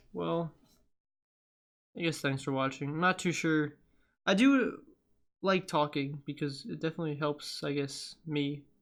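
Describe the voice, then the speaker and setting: On a very clean recording with a silent background, a man with a fairly high pitch speaks at a fairly slow pace with long, frequent pauses and ordinary pitch variation. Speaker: card-opening YouTuber. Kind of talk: casual reflective talk while sorting cards. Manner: halting, hesitant.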